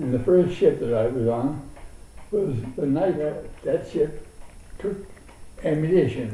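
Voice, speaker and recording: Fairly high-pitched male speech, with room echo clearly audible. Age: 90s. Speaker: war veteran. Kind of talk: oral history interview. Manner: halting.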